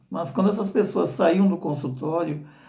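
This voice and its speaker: A man's dark, mellow, somewhat breathy tone with ordinary pitch variation and audible room echo. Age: 60s. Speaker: association director and albinism advocate. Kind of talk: informational talk. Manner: halting with repetitions.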